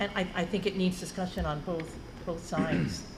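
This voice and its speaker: A woman at a medium pitch with a New Jersey accent and ordinary pitch variation, amid noticeable background noise and audible room echo. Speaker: school board member. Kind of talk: board meeting discussion.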